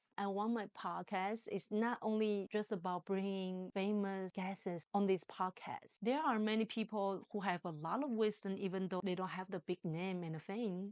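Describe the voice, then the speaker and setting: In a very clean recording with a silent background and a dry, close sound with no echo, a woman with a Chinese accent speaks at medium pitch with fairly even intonation. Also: moderate pace, hardly any pauses. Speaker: podcast host. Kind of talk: podcast monologue.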